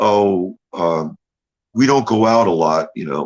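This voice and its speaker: Vocal fry and very wide pitch swings from a male speaker. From New England. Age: 60s. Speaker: interview guest. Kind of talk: casual interview.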